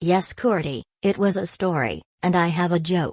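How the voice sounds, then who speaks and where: A put-on character voice with a deadpan tone, middle pitch, and moderate pace. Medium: read story. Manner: deadpan, stilted.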